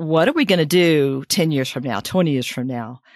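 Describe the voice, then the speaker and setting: A woman's very deep, low voice with ordinary pitch variation, in a very clean recording with a silent background and a dry, close sound with no echo. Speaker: retiree. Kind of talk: interview. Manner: halting.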